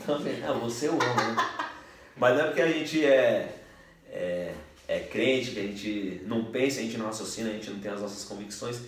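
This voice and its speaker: In a São Paulo accent and a relaxed tone, a man at medium pitch speaks at a moderate pace with ordinary pitch variation and long, frequent pauses, amid noticeable background noise and audible room echo. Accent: Paulistano Brazilian Portuguese. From São Paulo, north zone (Brazil). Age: 30s. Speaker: podcast host, military police officer. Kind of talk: casual chat. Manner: slangy, relaxed.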